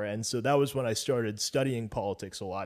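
On a very clean recording with a silent background, a man with an American accent speaks at a fairly quick pace in a medium pitch, using a normal speaking voice. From United States. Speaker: political guest, restaurant worker. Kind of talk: casual discussion.

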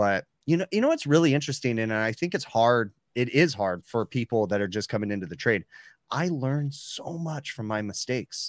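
In an ordinary speaking voice, a man talks at a fairly quick pace and medium pitch, his intonation lively. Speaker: HVAC podcast host. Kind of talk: casual chat. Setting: live stream with chat.

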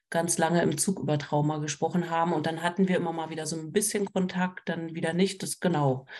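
A woman with a fairly low voice talks very fast with fairly even intonation against a quiet background. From Berlin. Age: 40s. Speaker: trauma counselor and social worker. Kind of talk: casual chat.

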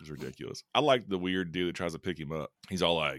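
In a very deep, low pitch with vocal fry, a man speaks in an animated tone with ordinary pitch variation. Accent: Southern US. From US South, Kentucky. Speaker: high school teacher and horror podcast host. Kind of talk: casual chat. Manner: animated, joking.

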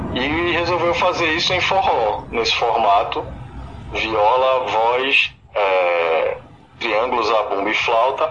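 A man with a medium-pitched voice speaks very slowly and at a very even loudness, his pitch swinging very widely over noticeable background noise. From Pernambuco sertão, Brazil. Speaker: musician, forró band singer. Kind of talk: radio interview. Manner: halting, with fillers.

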